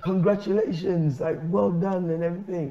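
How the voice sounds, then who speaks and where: A man's high voice carries at a moderate tempo through noticeable background noise. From Sierra Leone. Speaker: storyteller and hip hop artist. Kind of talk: chat show interview answer, telling an anecdote.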